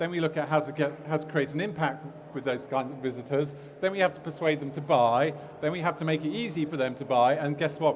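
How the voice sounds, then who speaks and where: Noticeable background noise and audible room echo surround a man with a fairly high pitch. He talks very fast with fairly even intonation. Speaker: e-commerce agency owner, conference speaker. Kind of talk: conference talk. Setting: stage with audience. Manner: halting, many fillers.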